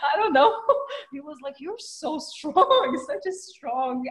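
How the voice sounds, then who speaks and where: A woman talks at a moderate pace with very wide pitch swings. Noticeable background noise runs behind her. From Iran. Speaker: actress. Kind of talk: interview. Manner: animated.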